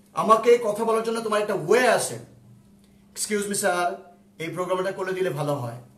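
Against noticeable background noise and audible room echo, a man speaks at a high pitch with ordinary pitch variation. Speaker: ICT teacher. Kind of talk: online lecture. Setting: home drawing room, live stream. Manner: animated.

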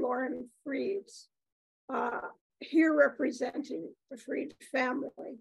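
This woman has a high-pitched voice and speaks at a very slow pace. The recording is dry with no echo against a quiet background. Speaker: university professor emerita introducing speaker. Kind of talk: formal introduction. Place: meeting room. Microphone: podium.

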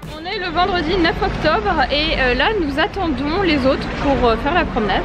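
A woman talks over crowd noise in the background. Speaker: makeup content creator. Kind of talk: casual vlog chat.

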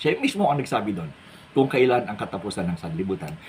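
Male speech, gravelly with vocal fry, swinging very widely in pitch. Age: 60s. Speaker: pastor. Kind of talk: religious monologue vlog.

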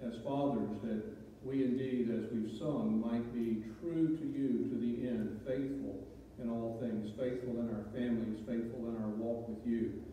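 In a room with strong echo and light background noise, a man speaks at a fairly slow pace with ordinary pitch variation. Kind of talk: public prayer. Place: church.

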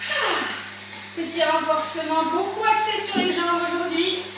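A woman's raised, projected voice rings with strong room echo over noticeable background noise. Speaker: fitness instructor. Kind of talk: workout instruction. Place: empty room. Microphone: camera far.

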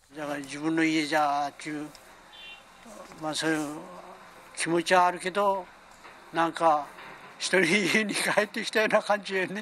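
Light background noise accompanies a man speaking in a high voice at a moderate pace. His pitch varies in an ordinary way, with long, frequent pauses. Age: 70s. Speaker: flood-affected resident. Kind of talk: interview answer. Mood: emotional, relieved yet worried. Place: home room. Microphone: handheld.

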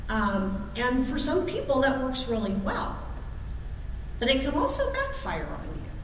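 The speech moves at a fairly slow pace. Audible room echo and light background noise are present. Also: woman. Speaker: lay minister. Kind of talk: sermon. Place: church. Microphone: podium.

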